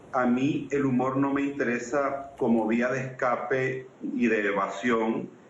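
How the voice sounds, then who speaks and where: A man with a Venezuelan accent speaks at a medium pitch amid noticeable background noise. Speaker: political scientist and comedian. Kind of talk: interview answer.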